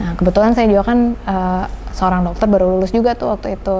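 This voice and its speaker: Noticeable background noise and audible room echo around a woman's medium-pitched speech. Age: 30s. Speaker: pediatrician and cancer survivor. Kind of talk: personal testimony interview. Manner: casual, with frequent filler hesitations.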